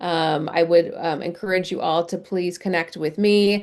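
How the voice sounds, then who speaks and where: Over a quiet background, a woman speaks at a moderate pace in a plain, everyday voice with a fairly low pitch. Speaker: career center director. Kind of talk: webinar presentation. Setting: video call. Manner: many filler words.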